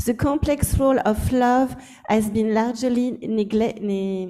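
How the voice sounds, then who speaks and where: In a French accent, a woman speaks at a very slow pace. Her pitch is fairly high, with ordinary pitch variation. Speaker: anthropologist. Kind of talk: academic lecture. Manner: halting, with false starts.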